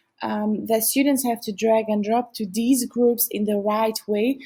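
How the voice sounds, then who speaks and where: A woman with a non-native accent speaks at a moderate pace, her fairly high voice carrying a dark, mellow tone. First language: not English. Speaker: software tutorial presenter. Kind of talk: software tutorial narration.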